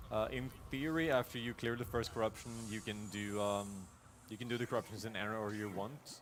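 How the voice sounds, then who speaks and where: A man talks at a fairly quick pace, his fairly low voice keeping a fairly even intonation. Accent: Norwegian. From Norway, rural. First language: Norwegian. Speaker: speedrunner. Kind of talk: live gameplay commentary. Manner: casual, with fillers and repetitions.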